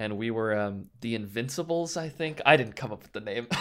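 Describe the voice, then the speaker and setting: Speaking fairly quickly, a man uses a plain, everyday voice at a medium pitch. His intonation is lively. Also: very clean recording, silent background. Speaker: professional esports player. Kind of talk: interview.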